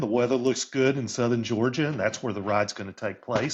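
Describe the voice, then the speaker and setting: A man talks fairly quickly in a normal speaking voice at a medium pitch. His intonation is fairly even, and the background is quiet. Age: 60s. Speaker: career coach and author. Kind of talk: interview conversation.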